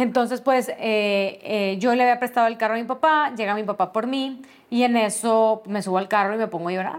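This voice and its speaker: Fairly quick speech comes from a woman with a fairly high pitch. Her intonation stays fairly even. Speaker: podcast host, HR specialist. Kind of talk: personal storytelling monologue.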